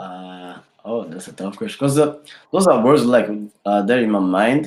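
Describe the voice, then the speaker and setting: A man with a Rwandan accent speaks at a moderate pace in a fairly low voice. His intonation is lively, and his loudness swings widely. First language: Kinyarwanda. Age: 20s. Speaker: rapper. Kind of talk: interview. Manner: halting.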